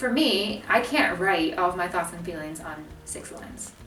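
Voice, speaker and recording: Over noticeable background noise, a woman with an American accent speaks at a fairly low pitch and a moderate pace. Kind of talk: casual talk to camera.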